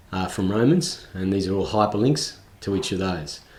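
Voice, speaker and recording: Audible room echo surrounds a man speaking in a fairly low pitch with an Australian accent. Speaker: tutorial video creator. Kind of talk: screen recording tutorial. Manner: hesitant, many fillers.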